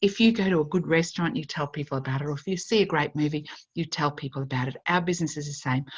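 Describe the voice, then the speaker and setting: The speech comes at a very fast pace, somewhat breathy, with ordinary pitch variation. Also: woman, very deep, low pitch for a woman. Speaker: network marketing presenter. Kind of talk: sales pitch.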